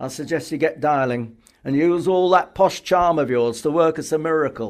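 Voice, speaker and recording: Using a gruff, put-on character voice, a man talks at a moderate pace and fairly high pitch with ordinary pitch variation. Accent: Yorkshire. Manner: gruff, brusque.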